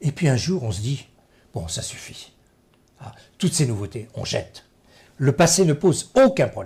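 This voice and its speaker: With vocal fry and a dark, mellow tone, a man moves through very wide pitch swings at a fairly slow pace. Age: 70s. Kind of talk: interview.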